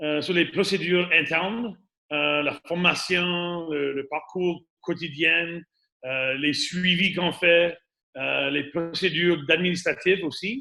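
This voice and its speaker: A man with an Acadian accent speaks very slowly at a high pitch, his intonation fairly even. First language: English (speaking French). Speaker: radon mitigation and home inspection business owner. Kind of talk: webinar presentation. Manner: halting, many fillers and repetitions.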